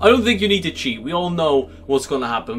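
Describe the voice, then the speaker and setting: With music in the background, a man speaks at a very fast pace in an upbeat tone with lively intonation. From Belgium (Dutch-speaking). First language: Dutch. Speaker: gaming YouTuber. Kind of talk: gaming commentary video. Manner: casual, upbeat.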